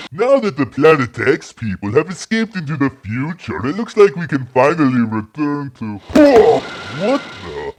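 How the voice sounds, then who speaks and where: A man performs a cartoonish character voice at a fairly high pitch. He keeps a moderate pace. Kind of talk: comic parody.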